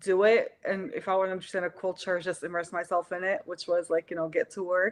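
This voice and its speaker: A woman's medium-pitched voice with an Arabic accent, very fast pace, and a dry, close sound with no echo. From Syria. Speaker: artist. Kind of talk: interview. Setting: live stream video call.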